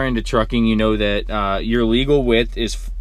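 In a dry sound with no echo, a male speaker goes at a moderate pace. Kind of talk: explanatory vlog chat. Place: car.

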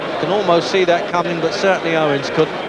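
A man's voice sounds dry with no echo against loud background noise. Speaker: boxing commentator. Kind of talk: commentary.

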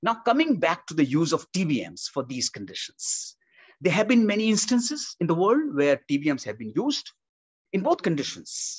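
A man is speaking. His pace is moderate, and the background is quiet. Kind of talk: technical explanation. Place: home room. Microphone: webcam.

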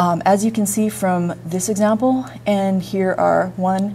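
A woman speaks in a plain, everyday voice, fairly low in pitch with ordinary variation, over light background noise. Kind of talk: lecture. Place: classroom.

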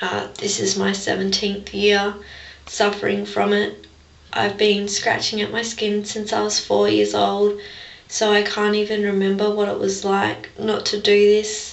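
With an Australian accent, a woman speaks at a fairly slow pace in a room with audible echo. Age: 20s. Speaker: vlogger with a skin-picking disorder; personal vlogger. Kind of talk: personal testimony vlog. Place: bathroom. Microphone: webcam.

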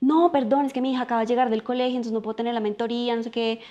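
Very fast in pace, a woman speaks with a dark, mellow tone. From Colombia. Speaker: political scientist and life coach; podcast guest, coach. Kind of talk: casual interview conversation. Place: home room.

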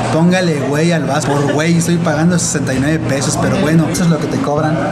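Loud music plays behind a man who talks at a fairly quick pace. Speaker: vlogger host. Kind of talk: casual vlog chat. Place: cafe. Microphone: phone near.

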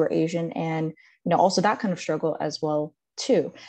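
A woman with an American accent talks at a very fast pace against a quiet background. Her pitch sits fairly low. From Southern California. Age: 20s. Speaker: physician assistant student; presenter. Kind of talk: presentation. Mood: earnest, personal reflection. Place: home room. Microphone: webcam.

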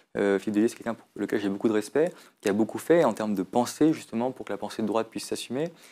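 With a dark, mellow tone, a man talks at a very fast pace. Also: medium pitch for a man, ordinary pitch variation, big swings in loudness, very clean recording, silent background. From France, Lyon. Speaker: parliamentary candidate. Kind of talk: political interview. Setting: studio. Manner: animated.

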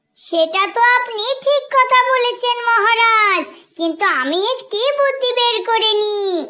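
A cartoonish character voice pitched extremely high, delivered at a fairly slow pace. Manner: polite, bright.

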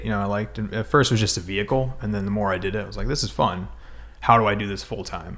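With a General American accent, a man talks at a fairly low pitch with vocal fry. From Colorado, US. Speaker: real estate investor. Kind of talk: casual interview. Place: meeting room. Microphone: studio mic.

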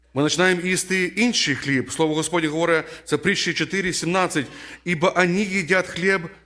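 The delivery moves at a moderate pace with fairly even intonation and very even loudness. Its tone is bright and sharp. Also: man, high pitch for a man. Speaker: preacher. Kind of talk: sermon.

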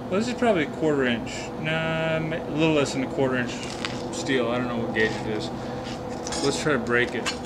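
The man talks at a fairly quick pace. Loud noise fills the background. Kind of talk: casual tutorial. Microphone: camera far.

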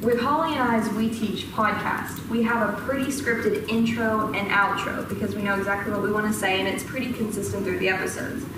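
A woman's fairly quick speech with hardly any pauses, audible room echo and noticeable background noise. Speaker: presenter. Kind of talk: lecture. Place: classroom. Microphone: camera far.

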